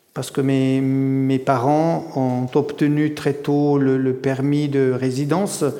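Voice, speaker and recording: With audible room echo, a man speaks at a very slow pace in a fairly high pitch and a dark, mellow tone. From German-speaking Switzerland, Graubünden, Italian immigrant family. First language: Italian (speaking French). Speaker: novelist and lecturer. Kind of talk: public literary discussion; reading aloud from his novel. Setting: stage with audience. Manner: halting, repeats words.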